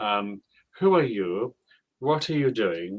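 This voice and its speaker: A man with a British accent and very wide pitch swings, in a dry, close sound with no echo. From United Kingdom. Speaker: online English tutor. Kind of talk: online English lesson conversation.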